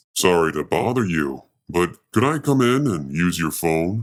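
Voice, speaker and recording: In a put-on character voice with very wide pitch swings, the speaker moves at a moderate pace on a very clean recording with a silent background. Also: man, very deep, low pitch for a man. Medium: read story. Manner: insistent.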